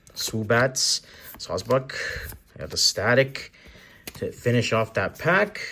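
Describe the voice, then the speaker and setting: A man speaks very slowly while noticeable background noise continues behind him. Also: long, frequent pauses, big swings in loudness. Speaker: card-opening youtuber. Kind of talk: casual unboxing commentary. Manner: chatty.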